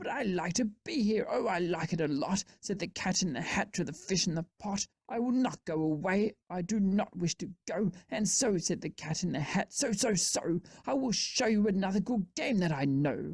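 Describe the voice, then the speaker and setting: A woman puts on a character voice. She keeps a medium pitch and a moderate pace. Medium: read story. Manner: bouncy, showman-like.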